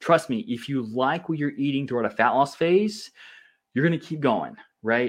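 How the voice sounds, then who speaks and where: Over a quiet background, a man speaks at a moderate pace. His fairly high voice carries lively intonation. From US South (Louisiana). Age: 30s. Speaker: nutrition and fitness coach, podcast host. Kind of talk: solo presentation / podcast talk. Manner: animated.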